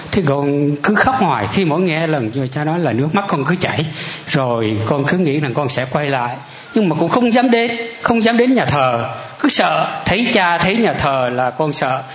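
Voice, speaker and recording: Noticeable background noise accompanies a man whose voice moves in very wide pitch swings. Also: fairly high pitch for a man, moderate pace. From Central Highlands, Vietnam (Dak Lak). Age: 60s. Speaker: churchgoer giving testimony. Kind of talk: testimony. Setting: church.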